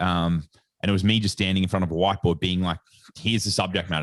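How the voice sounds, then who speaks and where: A man with a very deep, low pitch and an Australian accent, monotone, flat intonation, and a quiet background. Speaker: sports nutritionist and educator. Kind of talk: podcast interview. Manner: casual, filler-heavy.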